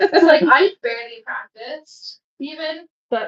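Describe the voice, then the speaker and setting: A woman's raised, projected voice, bright and sharp in tone, at a fairly slow pace. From Ireland. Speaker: streamer and singer. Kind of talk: casual chat. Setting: livestream. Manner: animated.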